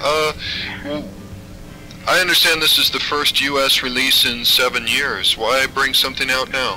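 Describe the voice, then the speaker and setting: Music plays in the background as a man speaks. His pitch is fairly high, and he leaves long, frequent pauses. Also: ordinary pitch variation, moderate pace. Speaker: interviewer. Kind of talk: interview questions.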